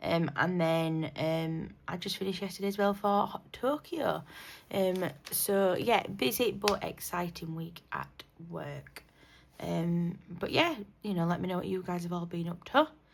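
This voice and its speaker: A woman speaks with a British accent in a fairly low pitch. Her pace is fairly slow, with ordinary pitch variation. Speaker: budgeting YouTuber. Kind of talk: casual vlog talk. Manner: hesitant, many fillers.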